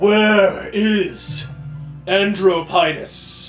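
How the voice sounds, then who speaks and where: A man's raised, projected, high put-on character voice over clear music in the background. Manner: commanding, demanding.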